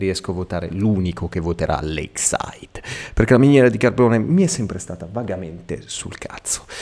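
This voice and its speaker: Very wide pitch swings from a man talking at a moderate tempo. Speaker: gaming youtuber. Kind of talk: live gameplay commentary. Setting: home recording at night.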